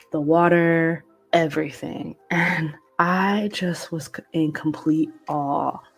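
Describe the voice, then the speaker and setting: Over noticeable background noise, a woman with a fairly low pitch speaks very slowly in a monotone, flat intonation. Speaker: podcast host. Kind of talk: casual chat.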